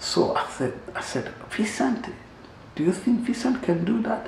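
A man speaks at a moderate pace, his pitch swinging very widely. There is audible room echo and light background noise. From Rwanda. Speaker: musician, genocide survivor; interview guest. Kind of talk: testimony. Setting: studio. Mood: earnest, reflective. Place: home room.

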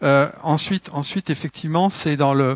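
A man with an unremarkable speaking voice talks at a fairly quick pace in a fairly high pitch with fairly even intonation, the sound dry with no echo. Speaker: development agency coordinator; panelist. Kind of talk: panel discussion. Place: hall. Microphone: microphone problems at start, switched mic.

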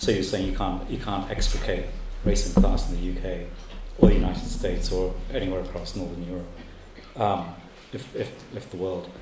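A man talks at a moderate pace amid loud background noise, with audible room echo around him. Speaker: event host. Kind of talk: Q&A moderation. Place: classroom. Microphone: handheld.

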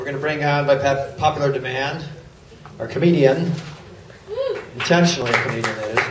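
Through noticeable background noise, a man talks at a very fast pace with long, frequent pauses and fairly even intonation. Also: fairly high pitch for a man. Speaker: host introducing the comedian. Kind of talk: stage introduction. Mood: light, joking. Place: stage.

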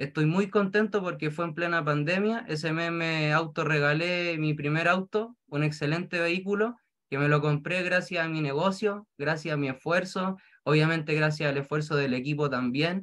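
A man speaks with a Chilean accent at a moderate pace. His pitch variation is ordinary, and the background is quiet. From rural Chile. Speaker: direct seller. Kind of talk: testimony. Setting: video call. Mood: grateful, upbeat. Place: home room. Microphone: video call.

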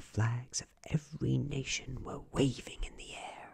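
Soft-spoken and soothing in a calm tone, a man speaks with vocal fry over a quiet background. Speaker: ASMR storyteller. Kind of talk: bedtime story reading aloud, hushed ASMR narration of a fairytale. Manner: slow, soft-spoken, soothing and calm; gentle, even, unhurried, lulling pace.

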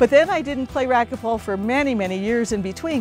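Faint music plays behind a woman's voice. The sound is dry, with no echo. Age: 60s. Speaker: racquetball player. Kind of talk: interview answer. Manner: casual, conversational. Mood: warm, enthusiastic. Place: garden.

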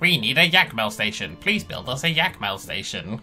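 Faint music plays in the background as a put-on character voice moves through very wide pitch swings at a moderate pace. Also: man, medium pitch for a man. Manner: pleading, silly.

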